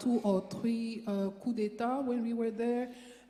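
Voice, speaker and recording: Noticeable background noise and audible room echo surround a woman speaking with a French accent. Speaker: audience member asking a question. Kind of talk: audience question at panel event. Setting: lecture theatre with audience. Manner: halting.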